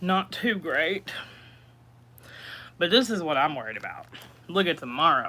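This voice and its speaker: A woman's fairly low voice has a bright, sharp tone and very wide pitch swings. She keeps a moderate pace with long, frequent pauses. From East Tennessee. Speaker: livestreaming cooking vlogger. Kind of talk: casual livestream chat. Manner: casual, chatty.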